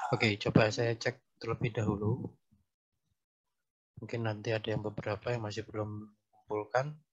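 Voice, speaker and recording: Soft-spoken and somewhat breathy, a man talks at a moderate pace in a fairly low, monotone, flat voice, with long, frequent pauses. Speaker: university lecturer. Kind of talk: online lecture.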